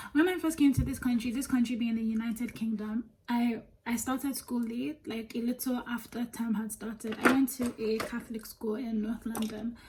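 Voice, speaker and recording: A woman's fairly high voice at a moderate pace, fairly even in intonation, over noticeable background noise. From Nigeria. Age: 20s. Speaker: beauty vlogger. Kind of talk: casual chat while doing makeup. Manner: chatty, many fillers.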